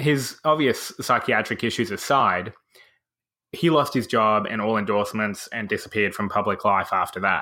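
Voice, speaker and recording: In a very clean recording with a silent background, a man with an Australian accent talks at a moderate pace in a medium pitch, his bright, sharp tone showing ordinary pitch variation. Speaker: podcast host. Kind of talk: casual chat.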